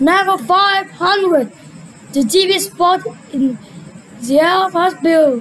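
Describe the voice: A cartoonish character voice at an extremely high pitch, speaking at a fairly slow pace with long, frequent pauses over clear background noise.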